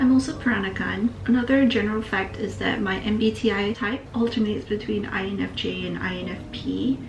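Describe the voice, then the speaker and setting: Music plays behind a woman speaking at a fairly quick pace. She hardly pauses at all. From Singapore. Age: 20s. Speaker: vlogger, university student. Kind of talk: casual chat. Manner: relaxed.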